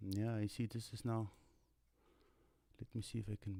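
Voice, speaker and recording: A man speaks at a fairly low pitch, sounding somewhat breathy. His tone is dark and mellow. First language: not English. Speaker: tutorial live streamer. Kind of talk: live stream Q&A. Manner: halting.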